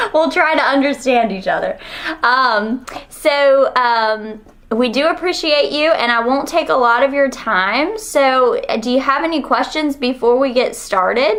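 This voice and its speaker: Over noticeable background noise, a woman with a Southern US accent talks at a fairly slow pace in a high pitch, her intonation lively and her loudness very even. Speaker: university researcher. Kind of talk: research interview.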